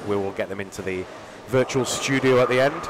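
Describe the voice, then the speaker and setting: Noticeable background noise under a man's medium pitch and ordinary pitch variation. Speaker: bowling commentator. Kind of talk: live commentary. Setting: live stream from bowling centre.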